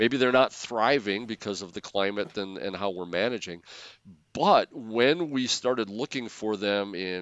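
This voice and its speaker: Pitch varies in an ordinary way as the speech moves along at a moderate pace. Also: man. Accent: Upper Midwest. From Wisconsin. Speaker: soil scientist. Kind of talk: casual interview.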